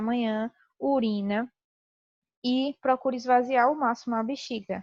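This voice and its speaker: This woman speaks with a high pitch. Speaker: teacher. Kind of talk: lecture.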